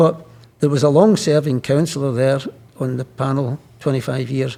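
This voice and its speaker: A man with a Scottish accent speaks in a dark, mellow tone. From Scotland. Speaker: politician, Lord Speaker. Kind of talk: interview answer. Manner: casual, anecdotal.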